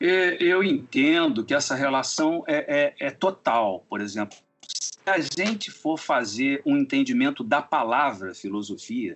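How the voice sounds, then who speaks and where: A man's fairly high voice at a fairly slow pace, with very wide pitch swings and hardly any pauses. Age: 60s. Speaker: composer. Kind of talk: interview. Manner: halting.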